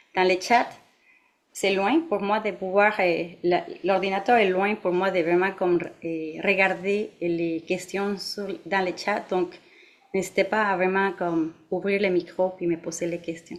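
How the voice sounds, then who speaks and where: A woman with a Mexican accent speaks very slowly at a medium pitch. Her intonation is monotone and flat. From Mexico. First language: Spanish (speaking French). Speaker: meditation teacher. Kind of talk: dharma talk to an audience. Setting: meditation centre with live audience and online. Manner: halting, many fillers.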